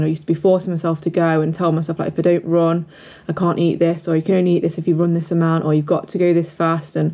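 A woman speaks at a very fast pace. Her pitch is fairly low. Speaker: running vlogger. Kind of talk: casual vlog chat. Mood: reflective, candid. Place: home room. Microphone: phone near.

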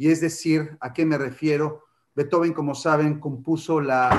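An ordinary speaking voice, fairly slow, with fairly even intonation. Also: man. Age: 50s. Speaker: writer and literature lecturer; literature lecturer. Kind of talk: lecture. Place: home room. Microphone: webcam.

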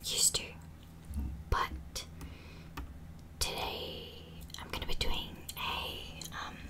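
A woman is whispering. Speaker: ASMR creator. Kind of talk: casual talk to camera.

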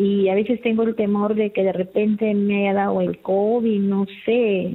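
There is noticeable background noise as a woman talks at a fairly slow pace. Her intonation is monotone and flat, and her loudness stays very even. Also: medium pitch for a woman. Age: 60s. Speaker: caller. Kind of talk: call-in question. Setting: phone call.

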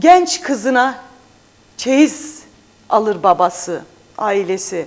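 A woman with a high voice speaks very slowly, her pitch swinging very widely. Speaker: parliamentary candidate and journalist. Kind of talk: TV interview. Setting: studio. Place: studio. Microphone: lapel.

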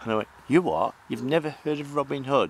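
At a moderate pace, a man speaks with lively intonation in a South Yorkshire accent. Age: old. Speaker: paranormal investigator. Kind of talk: casual chat.

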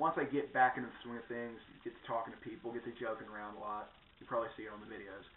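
With fairly even intonation, a man talks at a very fast pace over light background noise and audible room echo. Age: 20s. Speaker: vlogger. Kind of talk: casual vlog monologue. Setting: at home in front of a camera. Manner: rambling, full of fillers. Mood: personal, reflective. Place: home room. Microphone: webcam.

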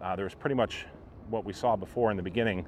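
A man with an unremarkable speaking voice talks at a fairly low pitch with fairly even intonation. The sound is dry with no echo, over light background noise. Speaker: theme park vlogger. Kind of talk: casual vlog commentary. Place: street. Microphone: phone near.

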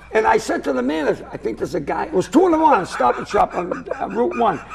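This man with an American accent talks fairly quickly as noticeable background noise carries on. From Lynn, Massachusetts; Massachusetts. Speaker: comedian. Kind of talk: casual chat. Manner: animated. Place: studio. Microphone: lapel.

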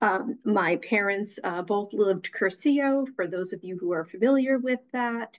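A woman speaks with ordinary pitch variation, and the background is quiet. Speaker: guest. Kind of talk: interview answer. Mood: warm, reflective. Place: home room. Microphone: video call.

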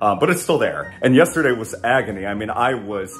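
Fairly quick speech over faint music in the background. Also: man. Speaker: flight attendant vlogger. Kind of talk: casual vlog chat. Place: kitchen. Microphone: phone near.

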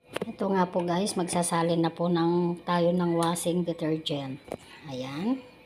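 Fairly low-pitched woman's voice, fairly slow pace, ordinary pitch variation and very even loudness, with noticeable background noise. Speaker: vlogger. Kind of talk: tutorial. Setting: outdoors. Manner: halting.

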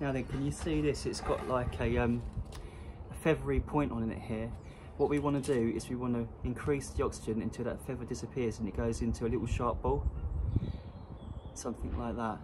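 A man goes at a fairly quick pace, and noticeable background noise can be heard. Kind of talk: tutorial. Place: street. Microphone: camera far.

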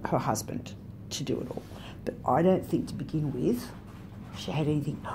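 A woman speaks with a very deep, low pitch and very wide pitch swings. Noticeable background noise runs beneath her. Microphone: phone near.

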